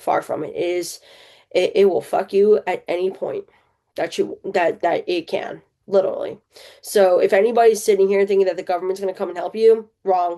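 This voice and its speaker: Against a quiet background, a woman speaks at a moderate pace in a New Jersey accent. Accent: New Jersey American. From central New Jersey, US. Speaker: podcast host. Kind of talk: personal testimony. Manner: casual, halting with fillers.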